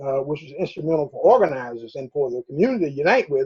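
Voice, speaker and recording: A man with an American accent talks in a somewhat breathy voice with lively intonation. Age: 70s. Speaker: political activist. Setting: video call. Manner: halting, many fillers.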